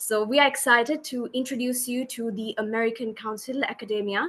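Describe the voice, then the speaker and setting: A woman's plain, everyday voice, fairly high in pitch, with ordinary pitch variation and a moderate pace. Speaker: webinar host. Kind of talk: webinar hosting and interview questions.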